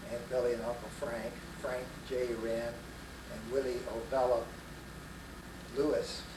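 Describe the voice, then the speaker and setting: A man's medium-pitched, monotone, flat voice with an American accent, at a fairly slow pace with long, frequent pauses, amid audible room echo and noticeable background noise. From Texas, Fort Worth. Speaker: grandfather telling life story. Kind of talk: oral history interview. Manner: hesitant with frequent uh.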